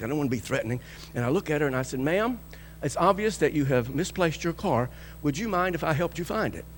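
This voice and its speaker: Talking at a very fast pace, a man with a fairly high voice and vocal fry swings very widely in pitch. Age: 60s. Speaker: pastor. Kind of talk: sermon. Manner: animated storytelling.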